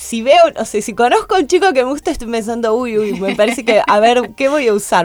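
A woman's fairly high voice comes through a very clean recording with a silent background. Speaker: biohacking educator. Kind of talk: interview. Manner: energetic.

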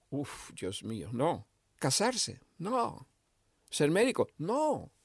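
A man talks in an animated tone, captured in a very clean recording with a silent background. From Argentina, Misiones (rural). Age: 70s. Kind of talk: interview conversation.

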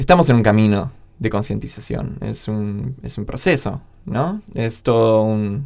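A man with an ordinary speaking voice talks at a fairly slow pace. His pitch is fairly low, and his intonation is lively. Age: 20s. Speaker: podcast co-host. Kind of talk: casual chat.

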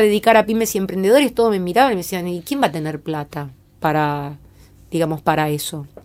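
Speaking very fast in a Rioplatense accent, a woman uses lively intonation at a medium pitch, captured in a very clean recording with a silent background. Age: 50s. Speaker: creativity coach. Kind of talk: interview. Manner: halting.

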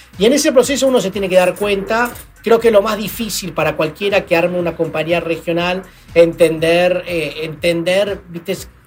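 At a moderate pace, a high-pitched man speaks with ordinary pitch variation as noticeable background noise plays. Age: 40s. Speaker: entrepreneur, company CEO. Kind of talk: interview.

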